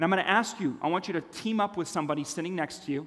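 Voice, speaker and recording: With a Californian accent, a man speaks fairly quickly in a raised, projected voice. His pitch varies in an ordinary way. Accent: American (Californian). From Switzerland, then Los Angeles from age nine. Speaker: storytelling speaker. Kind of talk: conference talk.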